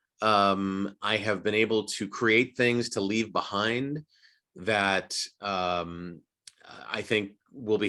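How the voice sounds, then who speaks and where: The man's voice is fairly low in pitch with a bright, sharp tone and ordinary pitch variation. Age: 60s. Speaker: voice actor and acting coach. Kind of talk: casual chat.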